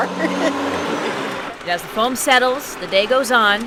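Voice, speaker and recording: Over noticeable background noise, a woman talks at a very slow pace and high pitch with ordinary pitch variation. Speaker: TV news anchor and reporter. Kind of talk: TV news package narration.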